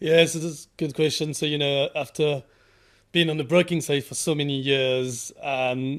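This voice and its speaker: Here a man speaks with a French accent at a fairly high pitch. His intonation stays fairly even at a moderate pace. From France. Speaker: cyber insurance underwriter. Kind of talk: interview. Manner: halting.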